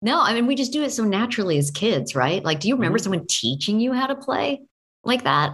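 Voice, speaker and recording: Her pitch swinging very widely, a woman talks at a very fast pace with vocal fry. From Oregon. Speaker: voice actress. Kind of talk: interview.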